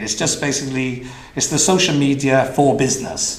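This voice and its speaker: A man speaks with a Welsh accent. There is noticeable background noise and audible room echo. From Wales. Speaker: business consultant. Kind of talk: conference talk. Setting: stage with audience. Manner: fast.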